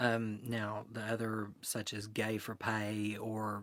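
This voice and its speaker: A man with an Appalachian accent speaks in a monotone, flat intonation. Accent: Appalachian Southern American. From Eastern Kentucky, Appalachia. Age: 20s. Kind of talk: oral history interview answer.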